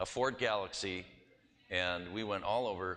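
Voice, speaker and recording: This man's voice has a bright, sharp tone and a Wisconsin accent. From US Midwest (Wisconsin, Milwaukee). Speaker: pastor and missionary. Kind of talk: church presentation. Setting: church. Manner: casual, anecdotal.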